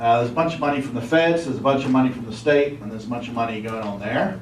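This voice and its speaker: A man with an English accent talks at a very fast pace in a medium pitch, with ordinary pitch variation, audible room echo and noticeable background noise. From England. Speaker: former state legislator and city councillor. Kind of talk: presentation to officials. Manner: casual, hesitant fillers.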